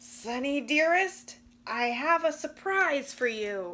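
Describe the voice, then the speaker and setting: A woman's put-on character voice, growling and high-pitched, at a fairly slow pace. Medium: read story. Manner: lowered voice, mock growl.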